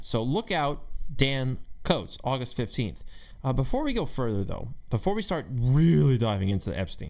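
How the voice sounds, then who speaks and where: A man speaks with an animated tone and lively intonation. His pace is moderate and his pitch medium. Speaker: podcast host. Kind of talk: political commentary monologue. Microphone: new microphone with pop guard.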